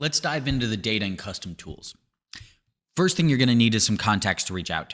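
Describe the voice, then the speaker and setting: Speaking at a fairly quick pace, a man with an ordinary speaking voice and an American accent uses lively intonation. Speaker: lead generation agency founder. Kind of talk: sales pitch.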